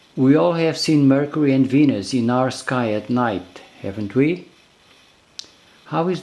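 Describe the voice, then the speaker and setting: A man with a non-native accent speaks at a fairly slow pace and medium pitch. His intonation is lively, and there is noticeable background noise. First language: not English. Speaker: video creator. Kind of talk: narrated explainer video.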